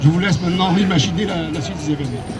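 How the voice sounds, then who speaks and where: Over music in the background, a man talks at a fairly quick pace. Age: 60s. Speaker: protester, biochemist. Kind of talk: street interview. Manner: halting, with fillers.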